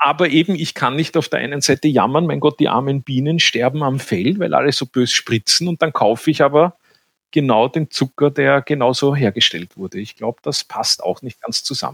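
A man's fairly high voice with vocal fry, in a dry, close sound with no echo. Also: ordinary pitch variation, moderate pace. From Vienna, Austria. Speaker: banker and beginner beekeeper. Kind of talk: interview.

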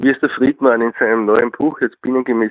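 Here a man with a plain, everyday voice talks at medium pitch and a moderate pace. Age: 50s. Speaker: beekeeper. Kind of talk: interview. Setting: phone call.

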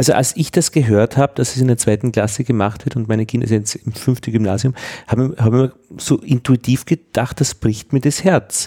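A somewhat breathy man with a dark, mellow tone and ordinary pitch variation, in a dry, close sound with no echo. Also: medium pitch for a man, moderate pace. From Upper Austria, rural. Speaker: podcast host. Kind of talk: interview.

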